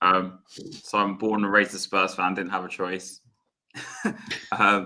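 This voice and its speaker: A man speaks with a London accent at a moderate pace. His pitch is fairly low. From North London, England. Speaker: football fan YouTuber, podcast guest. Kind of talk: casual chat.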